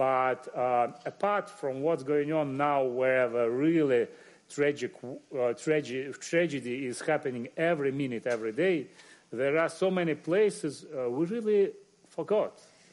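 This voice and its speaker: At a fairly slow pace, a man with a Russian accent speaks in a fairly high pitch. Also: ordinary pitch variation. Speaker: journalist and media editor. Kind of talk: panel discussion.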